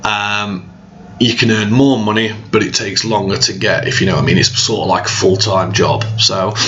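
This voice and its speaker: Audible room echo and noticeable background noise surround the recording. The man talking keeps a fairly even intonation. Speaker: online earning tips vlogger. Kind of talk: tutorial. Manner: casual, hesitant with many ums.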